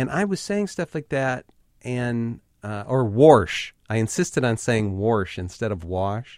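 At a fairly slow pace, a man speaks with lively intonation at medium pitch. His is a plain, everyday voice. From Ohio, US Midwest. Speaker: writer. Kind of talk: interview.

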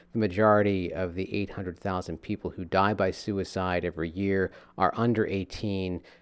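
This is a man with an ordinary speaking voice and a fairly low pitch. He talks at a moderate pace in a very clean recording with a silent background. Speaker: radio host. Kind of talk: interview.

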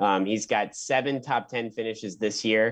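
A man with an American accent speaks at a medium pitch with ordinary pitch variation. He has an unremarkable speaking voice against a quiet background. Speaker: student golf podcast panelist. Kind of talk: casual chat. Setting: remote call.

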